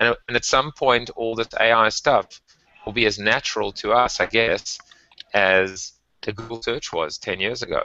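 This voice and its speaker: A man with a South African accent talks at a moderate pace. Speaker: tech and marketing podcast co-host. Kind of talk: casual chat.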